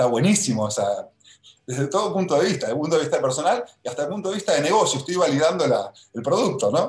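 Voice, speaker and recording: This man speaks at a very fast pace in a high pitch. His intonation is lively. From Argentina. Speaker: life coach. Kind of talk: interview.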